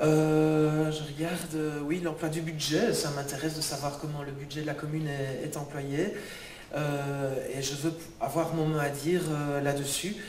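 At a fairly slow pace, a man speaks in a monotone, flat delivery at a fairly high pitch, with audible room echo and light background noise. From Belgium. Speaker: local election candidate. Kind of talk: public speech. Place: hall. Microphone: handheld.

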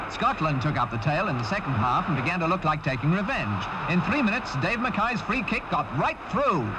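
With a British accent and a high pitch, a man talks at a fairly quick pace with hardly any pauses. His pitch swings very widely, and there is noticeable background noise. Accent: British, period newsreel diction. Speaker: newsreel sports commentator. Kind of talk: 1961 newsreel sports commentary, scripted narration. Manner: brisk, crisp and formal, clipped period delivery.

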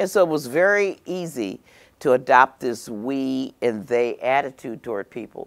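A woman with an American accent talks at a very deep, low pitch with lively intonation against a quiet background. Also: moderate pace. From Milwaukee, Wisconsin; Wisconsin. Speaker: congresswoman; panelist. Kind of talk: panel discussion. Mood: passionate, emphatic. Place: studio. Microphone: lapel.

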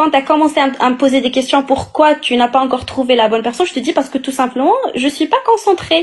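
A woman's high-pitched voice at a very fast pace, full of lively intonation. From Morocco, Agadir; Morocco. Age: 20s. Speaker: caller; guest. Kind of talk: casual chat; casual live chat argument. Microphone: phone near.

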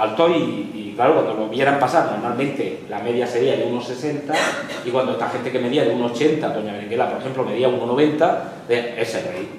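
A man talks at a moderate pace with a medium pitch and ordinary pitch variation. There is audible room echo and light background noise. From Lorca, Murcia, Spain. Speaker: history professor. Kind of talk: lecture. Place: classroom. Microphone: camera far.

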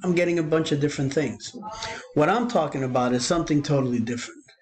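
The voice carries lively intonation over light background noise. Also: man. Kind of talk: screen-share tutorial. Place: home room. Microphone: webcam.

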